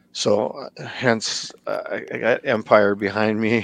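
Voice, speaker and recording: A man's medium-pitched voice, dry and close with no echo. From small-town US. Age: 40s. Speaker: custom toy artist. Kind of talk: casual interview chat. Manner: halting.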